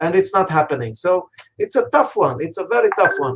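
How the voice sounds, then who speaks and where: His pitch swinging very widely, a man speaks at a moderate pace. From Romania. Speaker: coach and army veteran. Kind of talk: interview. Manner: hesitant with many fillers.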